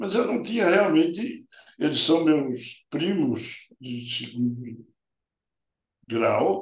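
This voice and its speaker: Long, frequent pauses break up a man's very slow speech. His pitch is fairly high and swings very widely. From Paraíba, Brazil (rural interior). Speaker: urologist. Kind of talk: interview. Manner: halting.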